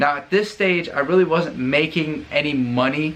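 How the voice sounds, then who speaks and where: An unremarkable speaking voice from a man with an American accent, fairly high in pitch, with ordinary pitch variation at a moderate pace. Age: 20s. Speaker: YouTuber, Marine. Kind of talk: tutorial. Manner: casual, conversational.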